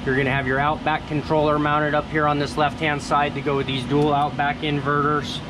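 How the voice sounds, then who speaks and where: A man is talking here. The background carries noticeable noise. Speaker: RV salesperson. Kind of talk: walkaround tour commentary. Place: hall. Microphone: phone near.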